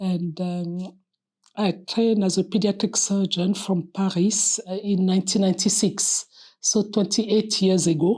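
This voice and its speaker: At a fairly slow pace, a woman with a French accent speaks at a medium pitch in a dark, mellow tone with monotone, flat intonation. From Republic of Congo. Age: 60s. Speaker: nun and pediatric surgeon. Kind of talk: personal testimony interview. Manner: hesitant with fillers.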